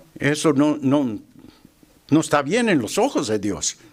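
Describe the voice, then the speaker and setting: A man talks in a fairly high pitch. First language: English (speaking Spanish). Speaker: lay preacher. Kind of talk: sermon. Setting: church. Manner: halting, with fillers and repetitions.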